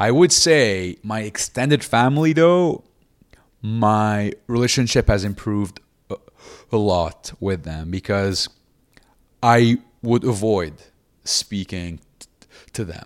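Very slowly, with long, frequent pauses, a man speaks at a fairly low pitch with lively intonation and big swings in loudness. The recording is very clean, with a silent background. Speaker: stand-up comedian and inspirational speaker. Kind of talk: interview conversation about his life. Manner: halting, stuttering, pauses to take deep breaths.

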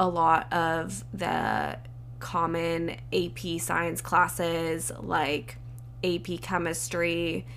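A woman with an American accent talks at a very slow pace. Audible room echo is present. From Southern California. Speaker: podcast host, medical student. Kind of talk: casual solo talk.

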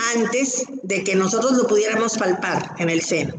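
A woman's fairly high voice with ordinary pitch variation and audible room echo. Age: 60s. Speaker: breast cancer survivor. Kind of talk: testimony.

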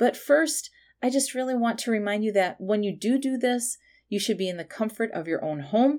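An unremarkable speaking voice from a woman, fairly high-pitched with lively intonation, in a very clean recording with a silent background. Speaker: meditation guide and intuitive. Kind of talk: guided meditation. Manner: slow, soothing, calm.

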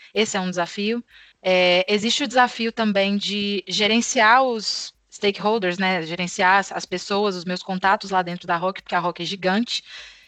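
A woman's bright, sharp voice with fairly even intonation and hardly any pauses. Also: medium pitch for a woman, moderate pace, dry, close sound with no echo. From Brazil, Belo Horizonte. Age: 20s. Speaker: account manager at a tech company. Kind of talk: interview.

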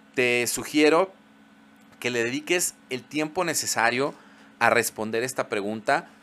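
Speaking at a fairly slow pace with long, frequent pauses, a man uses a medium pitch with ordinary variation and a bright, sharp tone. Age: 40s. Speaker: podcast host, psychologist. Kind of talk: solo podcast monologue.

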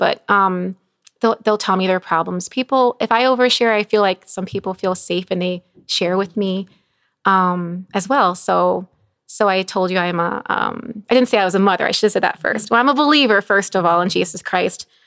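A woman with an American accent talks at a moderate pace in an ordinary speaking voice, at a medium pitch with ordinary pitch variation. The recording is very clean with a silent background and a dry, close sound with no echo. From Chicago area, Illinois. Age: 40s. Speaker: nurse and recovery ministry leader. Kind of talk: testimony.

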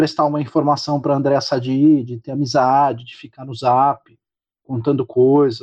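A man speaks at a moderate pace, his pitch fairly high. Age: 40s. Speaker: political commentator. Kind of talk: casual interview. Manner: halting, repeats words.

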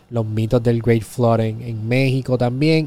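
A man with a Puerto Rican accent, moderate pace, and a dark, mellow tone. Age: 20s. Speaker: podcast host. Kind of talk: casual interview chat; show intro and outro.

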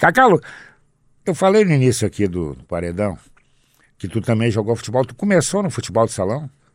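Through very wide pitch swings at a medium pitch, a man speaks at a fairly quick pace with long, frequent pauses on a very clean recording with a silent background. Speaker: sports radio host. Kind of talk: casual interview.

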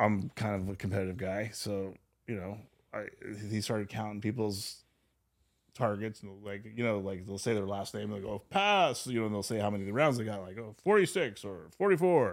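A man speaks in a normal speaking voice, fairly low in pitch with ordinary pitch variation, at a moderate pace. The recording is very clean with a silent background. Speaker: former MMA trainer and government contractor; former police officer. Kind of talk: casual interview chat.

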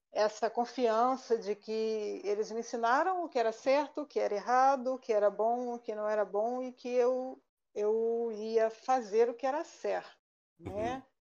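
With an unremarkable speaking voice, a woman talks fairly slowly at a fairly high pitch with ordinary variation. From Rio de Janeiro, Brazil. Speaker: statistician and university lecturer. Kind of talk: casual chat. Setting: live online stream.

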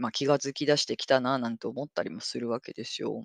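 A woman is heard in a dry, close recording with no echo and a quiet background. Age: 40s. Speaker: podcast host. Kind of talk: casual monologue. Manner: animated.

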